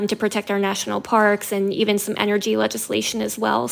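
A woman with an unremarkable speaking voice and a medium pitch talks at a fairly quick pace. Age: 20s. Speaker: nonprofit communications director. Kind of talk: radio interview.

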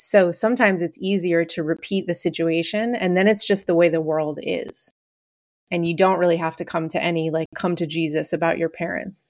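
Speaking at a fairly quick pace, a woman with an unremarkable speaking voice keeps a fairly low pitch and fairly even intonation. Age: 40s. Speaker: therapist. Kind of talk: casual chat.

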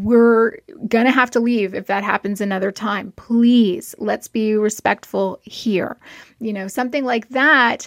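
A woman with a plain, everyday voice speaks at a fairly high pitch, fairly slowly and with fairly even intonation. The sound is dry and close with no echo, on a very clean recording with a silent background. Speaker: clinical psychologist. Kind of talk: advice interview.

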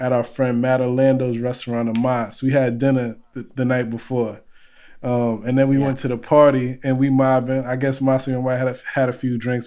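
A man with a New York accent and a dark, mellow tone talks at a moderate pace in a flat, monotone way. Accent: Bronx, New York. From the Bronx, New York. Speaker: guest calling in, culinary collective co-founder. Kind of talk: casual, slangy.

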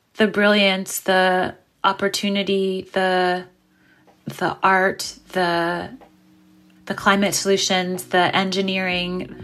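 A woman speaks with an American accent in a flat monotone at a very slow pace, leaving long, frequent pauses. The recording is very clean, with a silent background. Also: medium pitch for a woman. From New York City, Brooklyn. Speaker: marine biologist and writer. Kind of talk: interview.

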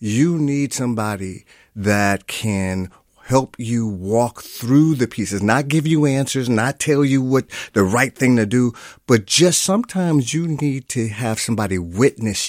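A man's medium-pitched, an unremarkable speaking voice with lively intonation and a fairly slow pace, in a dry, close sound with no echo and a very clean recording with a silent background. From Milwaukee, US Midwest. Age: 50s. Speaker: therapist. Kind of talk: radio interview.

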